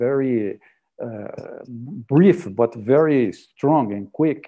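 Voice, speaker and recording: A man with a Portuguese accent and ordinary pitch variation against a quiet background. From Brazil. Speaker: physical oceanographer, session moderator; session moderator. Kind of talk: moderated online panel. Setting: video call. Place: home room. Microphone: earbuds.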